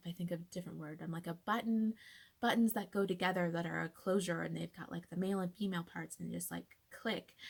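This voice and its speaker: A woman's fairly low voice with vocal fry, fairly even intonation and a fairly quick pace. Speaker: patient sharing personal illness story. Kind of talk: personal testimony vlog. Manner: casual, filler-heavy.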